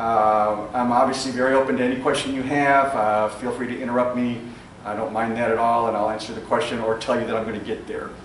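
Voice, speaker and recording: A man's voice at a very fast pace, medium in pitch, with monotone, flat intonation, noticeable background noise and audible room echo. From Chicago. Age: 60s. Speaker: entrepreneur. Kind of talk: talk to live audience.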